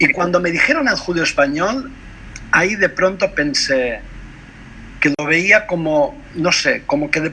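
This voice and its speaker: A man with a Catalan accent speaks at a fairly slow pace and a high pitch, with lively intonation. He leaves long, frequent pauses, and background noise is noticeable. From Mallorca, Spain. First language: Catalan (speaking Spanish). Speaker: translator and poet. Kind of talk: interview conversation over video call. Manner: halting, many hesitations and self-corrections.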